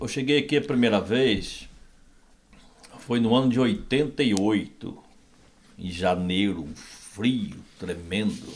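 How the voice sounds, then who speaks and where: Very slowly and with long, frequent pauses, a medium-pitched man speaks with very wide pitch swings and big swings in loudness. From Brazil, southern Minas Gerais (rural). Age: 60s. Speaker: pastor. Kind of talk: interview, testimony.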